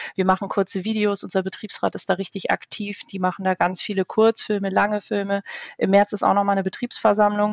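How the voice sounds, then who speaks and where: A woman speaks at a very fast pace. Her medium-pitched voice has a monotone, flat intonation. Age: 20s. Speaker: youth works council candidate. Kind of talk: interview.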